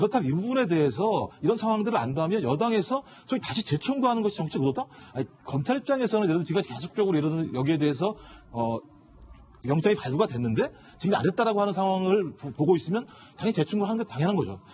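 The man's pitch moves through very wide swings. His voice sits high. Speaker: professor, news panelist. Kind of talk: TV news panel discussion. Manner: halting. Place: studio.

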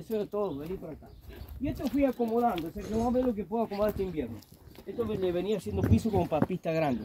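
With noticeable background noise behind him, a high-pitched man speaks at a very fast pace with lively intonation. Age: 60s. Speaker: farmer. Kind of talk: casual chat.

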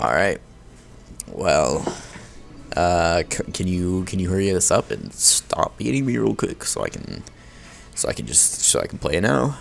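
Pausing often and at length, a man talks fairly slowly with noticeable background noise in the recording. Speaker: gaming YouTuber. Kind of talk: gameplay commentary. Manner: animated; prone to angry outbursts.

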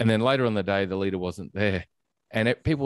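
A man with an Australian accent speaks in a fairly low pitch, the sound dry with no echo and the background quiet. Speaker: podcast host. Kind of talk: interview. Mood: warm, engaged. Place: home room. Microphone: studio mic.

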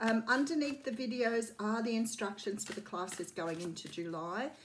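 Over light background noise, a somewhat breathy woman talks at a moderate pace with ordinary pitch variation. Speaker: tarot reader. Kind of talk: casual vlog chat. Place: home room. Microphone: phone near.

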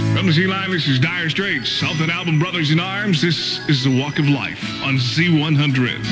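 A moderate pace over noticeable background noise. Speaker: radio DJ. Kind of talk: top 40 radio DJ patter. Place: studio. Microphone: studio mic.

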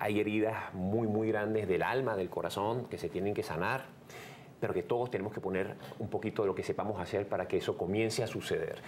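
A man talks at a fairly quick pace with a fairly low pitch. His intonation is fairly even, with light background noise. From Venezuela. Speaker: radio host and comedian. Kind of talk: interview answer. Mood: earnest, serious. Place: studio.

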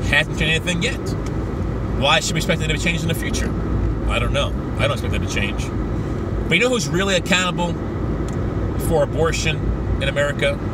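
Despite long, frequent pauses, the speech runs at a very fast pace, with a dry sound free of echo and loud background noise. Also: man. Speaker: street preacher, evangelist. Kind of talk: religious commentary to camera. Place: car. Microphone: phone near.

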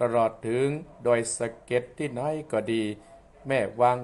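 A man's voice at a medium pitch. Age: 60s. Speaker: Buddhist monk, abbot; program host. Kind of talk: dharma radio talk. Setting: live stream recorded on webcam.

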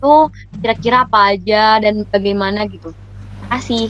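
The speaker is a woman. She talks at a fairly high pitch. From Bandung, Indonesia. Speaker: university student. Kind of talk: casual chat. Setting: video call.

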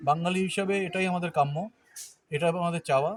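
A man speaks in a high pitch, varying it by ordinary amounts. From Agartala, Tripura, India. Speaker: visiting traveller. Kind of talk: casual interview.

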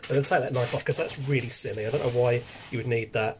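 A man talking at a very fast pace, somewhat breathy, over light background noise. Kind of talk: casual unboxing vlog chat. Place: home room. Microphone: webcam.

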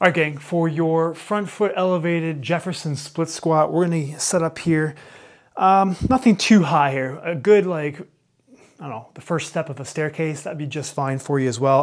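Over a quiet background, a man is speaking. His pitch variation is ordinary. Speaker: fitness coach. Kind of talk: tutorial. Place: gym.

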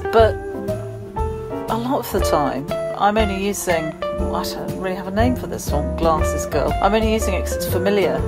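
A woman speaks in a British accent. Loud music plays in the background. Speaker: vlogger. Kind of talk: casual talk to camera. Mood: wry, mildly pleading. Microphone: phone near.

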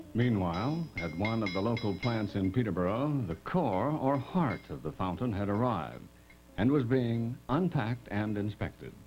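Over faint music in the background, a man with a fairly low pitch speaks at a moderate pace. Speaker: documentary narrator. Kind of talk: documentary narration. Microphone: old recording.

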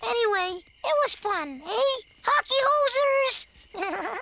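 Squeaky and put on, this character voice swings very widely in pitch. It moves at a very slow pace. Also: woman, extremely high pitch for a woman. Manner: cheerful, imitating a Canadian.

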